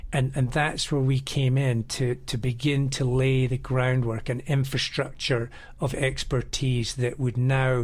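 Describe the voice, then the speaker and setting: With a Scottish accent, a man speaks at a fairly slow pace in a somewhat breathy, medium-pitched voice. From Scotland, Edinburgh. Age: 50s. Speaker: river guide and adventure travel operator. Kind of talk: interview.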